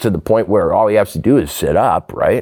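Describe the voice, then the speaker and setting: A man talks with an American accent. His voice has vocal fry. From rural Minnesota. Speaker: novelist and essayist. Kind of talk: casual chat. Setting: studio. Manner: halting.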